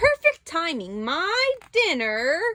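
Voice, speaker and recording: A woman puts on a squeaky character voice, pitched extremely high. Her pitch swings very widely. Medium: read story.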